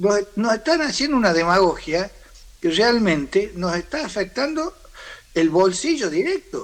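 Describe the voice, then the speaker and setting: A man's high-pitched voice moves at a fairly slow pace with lively intonation. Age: 60s. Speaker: farm sector leader. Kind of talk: interview. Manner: halting.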